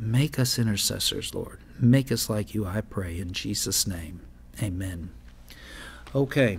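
Somewhat breathy and fairly low in pitch, a man speaks at a fairly slow pace with long, frequent pauses and ordinary pitch variation. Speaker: pastor hosting a live prayer program. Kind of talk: sermon. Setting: studio. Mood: earnest, devotional. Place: studio. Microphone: studio mic.

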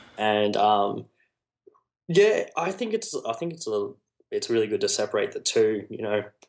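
Long, frequent pauses from a man speaking at a moderate pace. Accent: Australian. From Australia, New South Wales south coast. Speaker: music videographer and photographer. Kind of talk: interview conversation. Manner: articulate.

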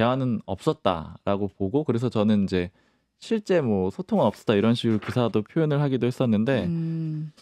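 A man's dark, mellow tone at a moderate pace and very even loudness, dry with no echo against a quiet background. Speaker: political journalist. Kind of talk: panel discussion. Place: studio. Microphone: studio mic.

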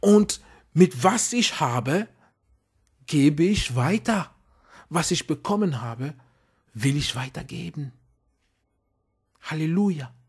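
A man with a non-native accent and a fairly high voice, very slow and lively in intonation, with long, frequent pauses, on a very clean recording with a silent background. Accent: foreign accent in German. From outside Germany, immigrant. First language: not German (speaking German). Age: adult. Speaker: preacher. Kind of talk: sermon. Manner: halting, many fillers.

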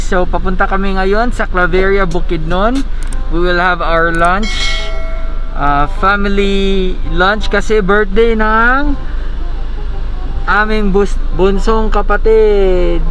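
A man's raised, projected voice at a very slow pace, with ordinary pitch variation, a dry sound with no echo and faint music in the background. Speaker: vlogger. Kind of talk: casual vlog chat. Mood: playful, upbeat. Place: car. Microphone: phone near.

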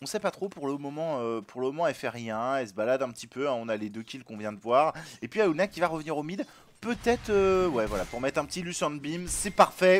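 The voice moves at a fairly quick pace with very wide pitch swings and big shifts in loudness. Music plays in the background. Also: man, fairly high pitch for a man. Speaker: gaming commentator. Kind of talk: live game commentary, casual and joking. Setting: stream / recorded gameplay commentary. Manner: joking, ironic, casual.

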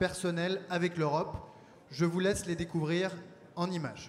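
A high-pitched man's voice over light background noise. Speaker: party official hosting the event. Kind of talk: conference opening speech. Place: hall. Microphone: handheld.

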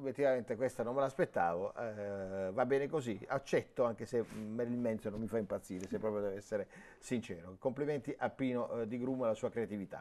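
The voice has a dark, mellow tone and races along at a very fast pace. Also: man, medium pitch for a man, ordinary pitch variation. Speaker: sports TV and radio host. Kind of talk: live sports phone-in show. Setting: studio. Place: studio. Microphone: lapel.

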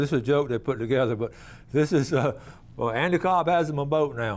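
Words come from the man at a very fast pace. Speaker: TV show host. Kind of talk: casual commentary. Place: studio. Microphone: lapel.

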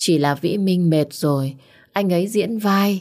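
A woman speaks at a very slow pace in a fairly low pitch, her tone dark and mellow against a quiet background. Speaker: audiobook narrator. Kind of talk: emotional story narration with dialogue. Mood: warm, deep, emotional. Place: home room. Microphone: studio mic.

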